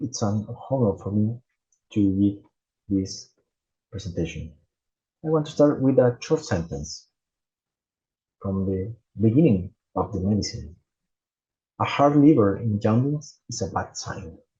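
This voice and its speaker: Fairly low in pitch, a man speaks with lively intonation, a dark, mellow tone, some breathiness and long, frequent pauses. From Chile. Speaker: gastroenterologist. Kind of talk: conference presentation. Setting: conference stage. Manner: halting, with repetitions.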